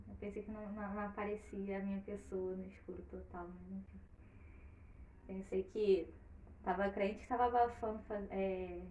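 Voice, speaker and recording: Over noticeable background noise, a woman talks at a fairly slow pace, with big swings in loudness. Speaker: storyteller and live stream host. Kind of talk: casual chat before story reading. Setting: online live stream.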